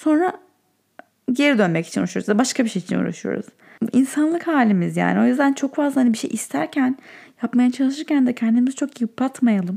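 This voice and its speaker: A woman talks at a fairly quick pace with a high pitch. Her tone is dark and mellow, and her intonation is lively. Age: 30s. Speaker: podcast host. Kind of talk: casual solo monologue. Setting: in bed at night.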